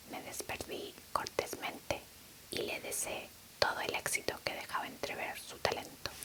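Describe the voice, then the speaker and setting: Noticeable background noise sits behind a woman whispering at a fairly slow pace. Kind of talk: whispered audiobook reading. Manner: whispered.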